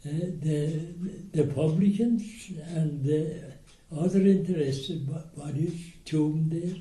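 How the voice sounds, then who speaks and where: A man with an Irish accent and a dark, mellow tone speaks at a very slow pace. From Ireland. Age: 80s+. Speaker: war veteran. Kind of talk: interview answer.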